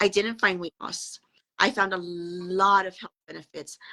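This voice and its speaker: With an American accent and a bright, sharp tone, a woman speaks at a medium pitch in a very clean, dry, close recording with a silent background and no echo. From US South, Texas-Mexico border (McAllen, Texas). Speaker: podcast guest, fasting advocate. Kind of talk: casual interview chat.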